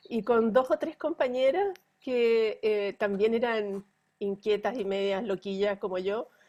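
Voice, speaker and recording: A woman's fairly high voice in a dark, mellow tone, at a fairly slow pace. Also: ordinary pitch variation. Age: 60s. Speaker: pediatrician. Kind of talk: interview.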